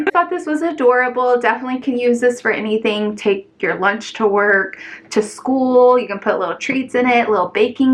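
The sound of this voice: Speech comes at a fairly quick pace with hardly any pauses and ordinary pitch variation over noticeable background noise. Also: woman, high pitch for a woman.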